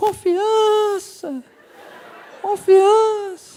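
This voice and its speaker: The squeaky, put-on character voice sits at an extremely high pitch. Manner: solemn, booming.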